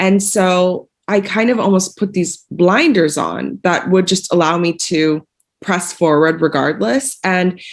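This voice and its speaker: On a very clean recording with a silent background, a woman with an American accent has a plain, everyday voice at a medium pitch, with very even loudness, ordinary pitch variation and a fairly slow pace. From United States. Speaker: fashion designer. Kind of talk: panel discussion.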